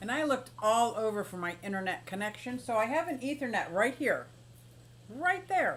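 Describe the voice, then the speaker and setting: With an American accent, a woman talks at a moderate pace in an animated tone, her pitch swinging very widely. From Pennsylvania, Philadelphia. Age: 60s. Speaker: aquarium and exotic pet streamer. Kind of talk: casual live stream chat. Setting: live stream.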